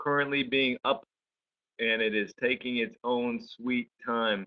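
A man speaks at a fairly slow pace with fairly even intonation over a quiet background. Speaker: web meeting host. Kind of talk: online training presentation. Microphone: video call.

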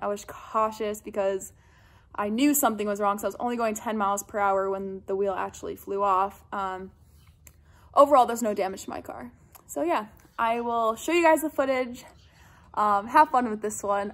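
This woman speaks at a moderate pace with ordinary pitch variation. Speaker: vlogger. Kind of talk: casual vlog chat. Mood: relieved, upbeat. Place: garage. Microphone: phone near.

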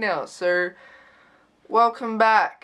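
With an Australian accent, a woman speaks with ordinary pitch variation. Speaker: YouTuber. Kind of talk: casual vlog. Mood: sarcastic, joking. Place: home room. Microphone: webcam.

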